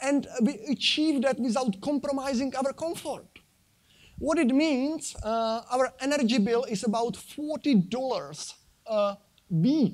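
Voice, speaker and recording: A man talks fairly slowly with a Czech accent. His pitch is extremely high. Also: ordinary pitch variation. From Czech Republic. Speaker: sustainable living speaker, design engineer. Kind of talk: conference talk with slides. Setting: stage at convention centre with audience. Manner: halting, many fillers.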